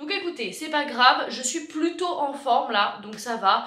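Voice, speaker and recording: Raised and projected, a woman's high-pitched voice carries lively intonation amid audible room echo. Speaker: vlogger. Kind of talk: vlog monologue. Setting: underground car park.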